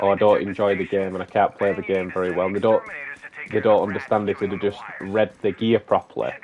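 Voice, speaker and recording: A man with a strong Manchester accent speaks very fast at a fairly low pitch, his intonation monotone and flat, over noticeable background noise. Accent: broad Manchester. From northern England, Manchester. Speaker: gaming streamer. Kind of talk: live stream gameplay chat. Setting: live stream. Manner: talkative.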